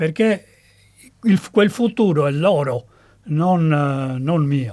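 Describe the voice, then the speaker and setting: A man at a fairly high pitch with a dark, mellow tone, lively intonation and a very slow pace. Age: 70s. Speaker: engineer, political commentator. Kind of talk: podcast interview.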